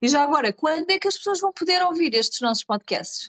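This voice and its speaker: A woman with a Lisbon accent talks at a fairly quick pace, her pitch swinging very widely, in a dry, close recording with no echo. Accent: European Portuguese, Lisbon. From Portugal, Carcavelos (Lisbon area). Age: 30s. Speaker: podcast co-host, business leader. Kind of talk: casual conversational podcast. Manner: hesitant, many fillers.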